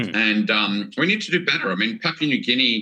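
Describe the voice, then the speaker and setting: A man with an Australian accent, bright, sharp tone and lively intonation at a moderate pace. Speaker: former China scholar. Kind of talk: casual interview.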